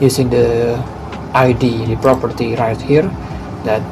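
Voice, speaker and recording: A man with a non-native accent speaks at a fairly slow pace with fairly even intonation. The room echo is audible and there is noticeable background noise. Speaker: coding tutorial creator. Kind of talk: tutorial. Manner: halting.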